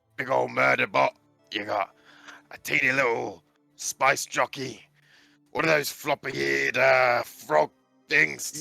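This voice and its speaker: Putting on a character voice, a man speaks raspy and fairly low at a fairly slow pace, with very wide pitch swings, long, frequent pauses, and faint music in the background. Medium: actual play. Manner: rambling, casual.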